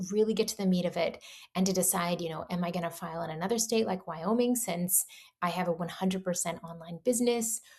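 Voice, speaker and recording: Somewhat breathy, a woman talks at a fairly quick pace in a medium pitch with ordinary variation. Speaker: business coach and entrepreneur vlogger. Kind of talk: casual vlog monologue. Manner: slight stutter today, repeats words.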